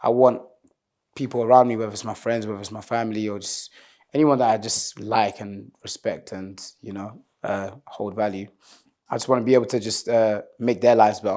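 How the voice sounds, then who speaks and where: With a dark, mellow tone and medium pitch, a man talks at a fairly quick pace in a monotone, flat way, his loudness swinging widely on a very clean recording with a silent background. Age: 20s. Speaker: singer and rapper. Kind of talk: interview. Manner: casual, relaxed.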